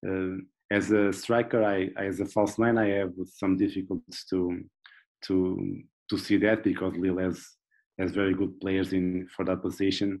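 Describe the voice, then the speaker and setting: Over a quiet background, a man with a Portuguese accent speaks at a moderate pace in a very deep, low voice with monotone, flat intonation. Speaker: football analyst. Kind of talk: casual interview. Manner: halting, repeating words.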